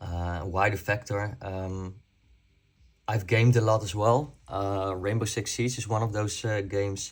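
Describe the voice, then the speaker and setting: Somewhat breathy and fairly low in pitch, a man speaks at a fairly slow pace with fairly even intonation on a very clean recording with a silent background. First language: not English. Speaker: airsoft YouTuber. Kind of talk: casual talk to camera. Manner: halting, many fillers.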